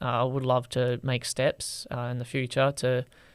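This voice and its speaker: A man speaks at a medium pitch with an Australian accent. The recording is very clean, with a silent background. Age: 20s. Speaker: TikTok creator. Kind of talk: podcast interview. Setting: studio.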